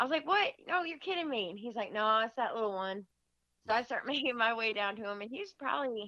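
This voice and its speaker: A woman's high-pitched, bright, sharp voice with an Upper Midwest US accent, lively intonation and a fairly quick pace against a quiet background. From Michigan. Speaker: deer hunter. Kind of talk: storytelling in casual interview.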